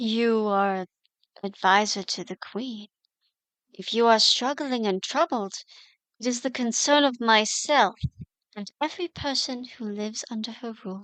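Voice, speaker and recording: A female-sounding, put-on character voice speaks at a fairly high pitch in a calm, gentle tone. The pace is moderate with long, frequent pauses, against a quiet background. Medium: audio drama. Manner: calm, measured, gentle.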